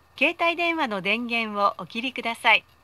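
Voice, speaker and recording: At a moderate pace, a raised, projected voice with a bright, sharp tone and lively intonation carries the words. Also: woman. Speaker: voice actor. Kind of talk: automated train announcement. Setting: PA system. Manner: polite, formal. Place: train.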